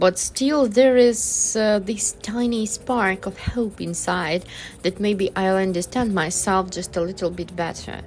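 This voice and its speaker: With a non-native accent, a woman of medium pitch speaks at a fairly slow pace with ordinary pitch variation over noticeable background noise. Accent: foreign accent, self-described. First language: not English. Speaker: artist vlogger. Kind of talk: casual vlog monologue. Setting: outdoors in a park. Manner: hesitant, with many fillers.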